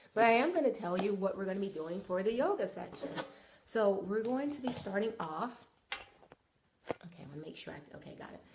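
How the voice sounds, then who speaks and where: Amid audible room echo, a woman at a medium pitch speaks fairly quickly with lively intonation, big swings in loudness and long, frequent pauses. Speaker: wellness and yoga instructor. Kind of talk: live broadcast, guided yoga instruction. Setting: live video broadcast. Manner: casual, chatty.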